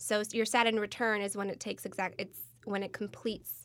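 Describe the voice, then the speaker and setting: An ordinary speaking voice with an American accent moves at a moderate pace with fairly even intonation in a very clean recording with a silent background. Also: woman. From Michigan, US Midwest. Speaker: crystal company employee. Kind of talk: casual chat.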